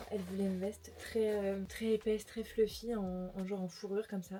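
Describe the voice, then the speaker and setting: A woman's medium-pitched voice, monotone and flat, over noticeable background noise. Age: 20s. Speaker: lifestyle vlogger. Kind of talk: casual vlog haul. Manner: casual, filler-heavy; whispering at times.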